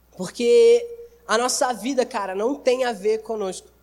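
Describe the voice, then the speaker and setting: The man's pitch is extremely high, and noticeable background noise runs beneath it. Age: 20s. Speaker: youth preacher. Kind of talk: sermon. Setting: church service with audience. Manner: casual, slangy.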